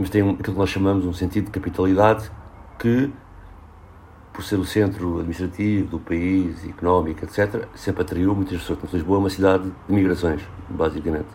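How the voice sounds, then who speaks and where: A man speaks at a fairly quick pace in a very deep, low voice with a dark, mellow tone. His intonation is fairly even and his delivery somewhat breathy. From Portugal, Lisbon. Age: 40s. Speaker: social worker and urban researcher. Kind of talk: casual interview.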